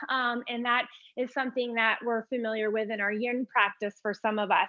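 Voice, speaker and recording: This woman speaks with a slight Vermont accent. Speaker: yoga teacher. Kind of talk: live yoga class instruction. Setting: live online class. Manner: casual, with frequent fillers.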